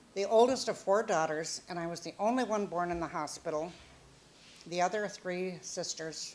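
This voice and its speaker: With a Minnesota accent, a woman speaks at a fairly low pitch with ordinary pitch variation. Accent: Upper Midwest American (Minnesota). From Minnesota, US Upper Midwest. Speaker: grandmother telling life story. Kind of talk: oral history storytelling.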